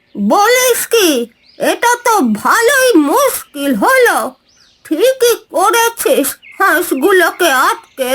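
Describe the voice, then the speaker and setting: A cartoonish character voice at an extremely high pitch, with a very slow pace. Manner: brisk, scolding.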